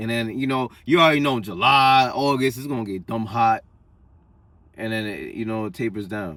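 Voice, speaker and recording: A man with a New York accent speaks in an animated tone at a moderate pace. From Long Island, New York. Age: 20s. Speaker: vlogger. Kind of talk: casual monologue.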